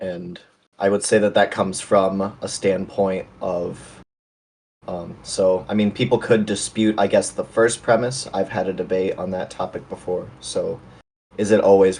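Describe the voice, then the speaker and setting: This man has a fairly low pitch, a dark, mellow tone and an American accent. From US Midwest, Chicago area. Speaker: debater. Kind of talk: formal debate.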